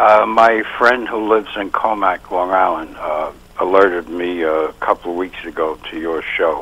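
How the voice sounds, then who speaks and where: With a Brooklyn accent, a man talks at a moderate pace in a very deep, low voice with ordinary pitch variation over noticeable background noise. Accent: New York (Brooklyn). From New York City (Brooklyn, Bensonhurst). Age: 70s. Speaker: caller, retired dentist. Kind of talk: call-in talk show.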